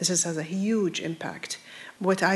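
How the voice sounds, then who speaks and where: Over noticeable background noise, a woman speaks at a fairly slow pace and fairly low pitch with fairly even intonation. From Iraq. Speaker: nonprofit director, panelist. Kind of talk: panel discussion. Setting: live town hall with audience.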